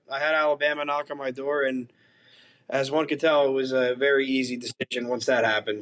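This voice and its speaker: A man with a New Jersey accent and a fairly high pitch speaks at a fairly quick pace. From northern New Jersey, Bergen County. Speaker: college hockey goalie. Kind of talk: podcast interview.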